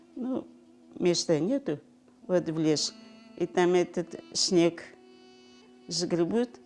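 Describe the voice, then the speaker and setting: Music plays in the background. Over it, a woman talks at a fairly low pitch. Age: 80s+. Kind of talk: oral history interview answer.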